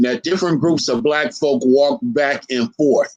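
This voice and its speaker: With a plain, everyday voice, a man speaks at a moderate pace and a fairly high pitch, his intonation lively. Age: 60s. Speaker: historian lecturer. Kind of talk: lecture.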